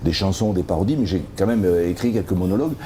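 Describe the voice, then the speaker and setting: Very fast male speech over noticeable background noise. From Perpignan, French Catalonia. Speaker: comedian and songwriter. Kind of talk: interview. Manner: hesitant, many repetitions and fillers.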